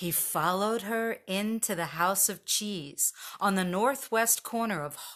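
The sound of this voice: A reading voice, unforced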